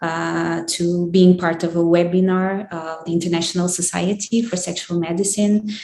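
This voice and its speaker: Speaking at a fairly slow pace, a woman with a Portuguese accent uses a medium pitch. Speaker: psychologist and sex therapist. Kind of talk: academic presentation. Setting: online webinar. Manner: halting, searching for words.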